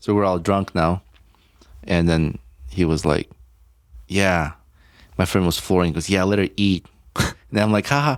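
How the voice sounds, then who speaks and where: A man with a very deep, low voice speaks with ordinary pitch variation, leaving long, frequent pauses. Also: moderate pace, very even loudness, very clean recording, silent background. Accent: Armenian. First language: Armenian. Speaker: podcast co-host. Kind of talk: casual chat.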